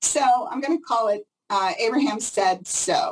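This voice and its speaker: A woman talks in an animated tone. Her pitch is fairly high. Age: 60s. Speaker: psychic reader. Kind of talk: interview.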